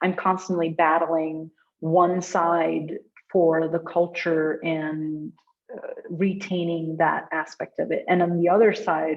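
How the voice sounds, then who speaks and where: A woman speaks at a fairly low pitch. Her intonation stays monotone and flat. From Oman, born in south India. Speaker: UX researcher and meetup speaker. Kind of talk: talk and Q&A discussion.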